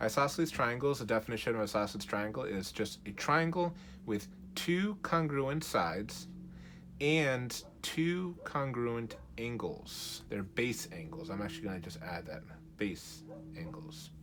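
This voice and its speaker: With audible room echo, a man at a medium pitch speaks at a fairly slow pace, his pitch swinging very widely. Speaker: math teacher. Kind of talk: tutorial.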